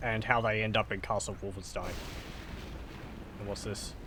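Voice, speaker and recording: A man's voice with a bright, sharp tone. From Australia. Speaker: gaming streamer. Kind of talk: casual let's-play commentary.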